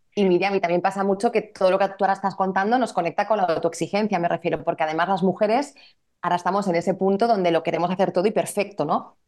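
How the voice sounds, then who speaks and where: A woman talks at a very fast clip with fairly even intonation. Her loudness stays very even throughout. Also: medium pitch for a woman. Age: 40s. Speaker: women's therapist and coach. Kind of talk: casual interview chat.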